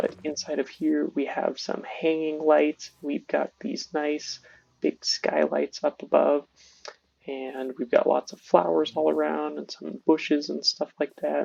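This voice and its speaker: Quiet and at a fairly slow pace, a man speaks with big swings in loudness in a dry, close sound with no echo. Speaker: gaming youtuber. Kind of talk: gameplay tutorial. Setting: home recording at night. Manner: casual.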